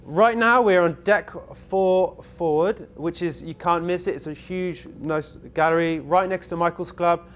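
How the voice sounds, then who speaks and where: A high-pitched man speaks with a southwest English accent. He barely pauses at all. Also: fairly even intonation, fairly slow pace. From southwest England, Bath. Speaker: cruise ship videographer. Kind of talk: casual interview.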